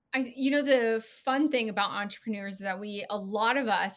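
With an American accent, a woman talks at a moderate pace with ordinary pitch variation in an ordinary speaking voice. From California. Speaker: podcast host. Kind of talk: interview, casual chat.

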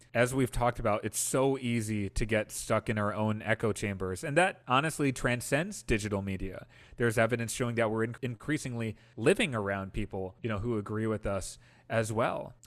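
A man talks in a normal speaking voice at a fairly quick pace, his pitch medium with ordinary variation. The background is quiet. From Wisconsin, US Midwest. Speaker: political organizer and Senate hopeful. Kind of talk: podcast interview.

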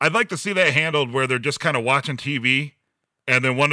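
The voice is loud, with a bright, sharp tone. It moves at a very fast pace. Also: man. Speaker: podcast host. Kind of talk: casual chat. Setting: video call, recording in a garage.

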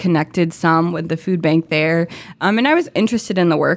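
An American-accented woman's voice. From Florida. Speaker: nonprofit program staff. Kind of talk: casual chat.

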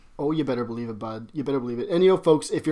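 A man's fairly high voice with a Canadian accent. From Alberta, Canada. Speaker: podcast co-host. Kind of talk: casual comedic chat.

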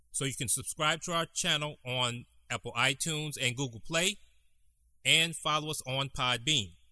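At a moderate pace, a man with an American accent speaks at a fairly high pitch with ordinary variation. His tone is bright and sharp, on a very clean recording with a silent background. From Detroit, Michigan. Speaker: podcast host, business co-founder. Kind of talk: interview; scripted outro.

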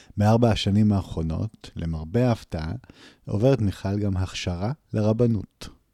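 A man's fairly low, dark, mellow voice at a fairly slow pace, with ordinary pitch variation, in a very clean recording with a silent background and a dry, close sound without echo. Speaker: podcast host. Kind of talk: casual chat. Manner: halting.

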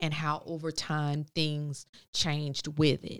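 In an American accent, the voice comes through on a very clean recording with no sound in the background. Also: woman. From New Jersey. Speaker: cosmetology educator. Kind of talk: casual chat.

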